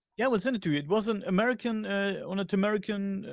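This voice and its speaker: A high-pitched man with a German accent and ordinary pitch variation. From Germany. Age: 40s. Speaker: podcast host. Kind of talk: interview conversation. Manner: hesitant, many fillers.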